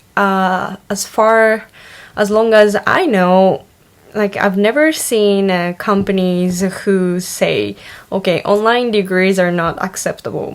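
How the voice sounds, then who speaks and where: A woman with a Japanese accent talks at medium pitch. Her intonation is fairly even and her pace very slow. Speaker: online university student vlogger. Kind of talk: casual vlog monologue. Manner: hesitant, many fillers.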